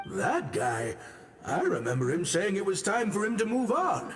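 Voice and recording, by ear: A man puts on a cartoonish character voice, pitched high. Clear music plays behind him. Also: moderate pace.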